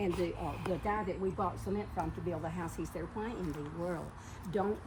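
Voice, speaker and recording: Moderate pace, audible room echo and noticeable background noise. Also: woman. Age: 90s. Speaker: elderly gardener showing her garden. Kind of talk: casual chat. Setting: outdoors. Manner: halting.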